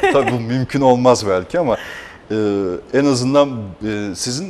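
A man's medium-pitched voice with lively intonation over light background noise. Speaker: TV host. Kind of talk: TV talk show hosting. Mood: cheerful, laughing. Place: studio. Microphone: lapel.

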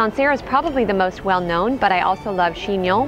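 With music playing in the background, a woman talks at a fairly quick pace with ordinary pitch variation. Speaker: travel vlogger narrator. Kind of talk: travel narration.

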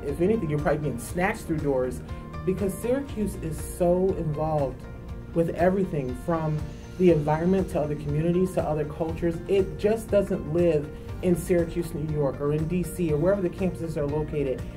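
Over clear music in the background, a woman with a very deep, low pitch and ordinary pitch variation talks at a fairly quick pace. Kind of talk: interview answer. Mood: enthusiastic, warm. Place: studio. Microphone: lapel.

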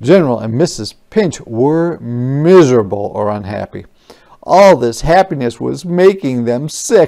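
Someone uses a natural reading voice, and the intonation is lively.

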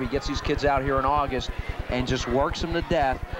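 With noticeable background noise behind him, a man talks at a fairly quick pace with fairly even intonation. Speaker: color commentator. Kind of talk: live color analysis during football broadcast. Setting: stadium broadcast booth. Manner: conversational, hesitant with fillers.

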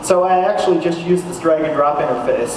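Audible room echo and noticeable background noise surround a man's voice. He speaks at a high pitch and a moderate pace. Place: hall.

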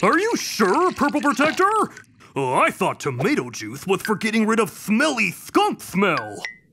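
With music playing in the background, a cartoonish character voice at a fairly high pitch speaks at a moderate pace. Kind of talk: kids' cartoon hero acting. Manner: heroic yet whiny about the itch.

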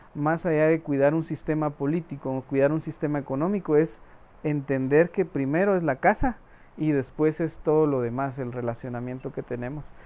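A man with a fairly high pitch speaks in a dark, mellow tone. His intonation stays fairly even at a moderate pace. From Guatemala, Quetzaltenango (Mam family roots); Guatemala. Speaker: interviewee. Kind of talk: interview monologue; interview answer. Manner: halting, with repeated fillers. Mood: calm, reflective. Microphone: lapel.

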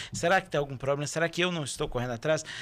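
A man talks very fast in a fairly high voice. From Brazil, Belo Horizonte metro area; Brazil. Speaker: stage actor. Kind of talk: casual chat. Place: studio. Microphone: studio mic.

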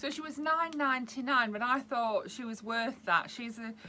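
Against light background noise, a woman's voice has a bright, sharp tone and ordinary pitch variation. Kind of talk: casual vlog chat. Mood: cheerful, chatty. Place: home room. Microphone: webcam.

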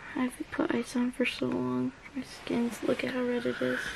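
Noticeable background noise fills the recording. Over it, a woman talks at a moderate pace. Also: dry sound with no echo. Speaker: vlogger. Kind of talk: casual vlog chat. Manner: weak, swollen-cheeked talk from bed. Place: home room. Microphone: phone near.

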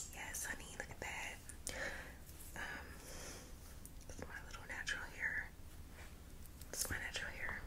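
At a moderate pace, a woman reads. Long, frequent pauses break up her speech. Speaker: ASMR creator. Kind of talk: ASMR whispering. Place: home room. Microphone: lapel.

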